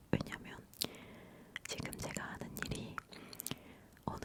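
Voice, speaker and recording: Fairly slow whispering from a woman, with noticeable noise behind it. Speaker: ASMR content creator. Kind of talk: ASMR whispered talking, giving life advice. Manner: whispered, soft-spoken, intimate.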